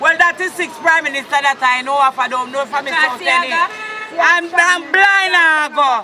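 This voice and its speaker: Over crowd noise in the background, a raised, projected voice carries in a Jamaican accent. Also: woman. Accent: Jamaican Patois. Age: 60s. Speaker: protester. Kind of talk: street protest talk.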